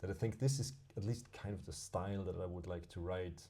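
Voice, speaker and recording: With a German accent, a man speaks in a fairly low, dark and mellow voice. It sounds somewhat breathy, and room echo is audible. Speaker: podcast co-host. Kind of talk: casual chat. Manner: halting, with many repeated words.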